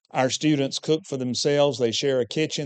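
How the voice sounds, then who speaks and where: A man talks in an unremarkable speaking voice. His pitch variation is ordinary and his pace is moderate. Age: 60s. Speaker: preacher and teacher at a preaching school. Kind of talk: church presentation.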